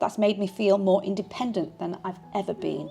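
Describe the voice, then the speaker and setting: A woman with a Yorkshire accent speaks at a medium pitch and moderate pace, in a calm, dark, mellow tone touched with vocal fry. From Yorkshire, England. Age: 40s. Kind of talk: personal vlog narration. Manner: calm, reflective.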